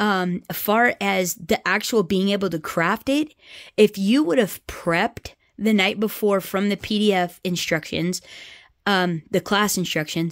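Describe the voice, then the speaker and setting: In an American accent, a woman speaks at a fairly slow pace with ordinary pitch variation, the sound dry and close with no echo on a very clean recording with a silent background. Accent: American accent, self-described. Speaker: crafting YouTuber. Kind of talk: casual show-and-tell vlog. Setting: home craft room. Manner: casual, many fillers and restarts.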